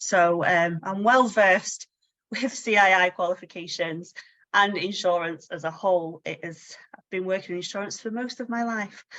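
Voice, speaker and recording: Here a woman speaks with a Manchester accent. Her loudness swings widely. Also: medium pitch for a woman, ordinary pitch variation, moderate pace. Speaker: insurance training coach. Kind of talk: webinar presentation. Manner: casual, many fillers.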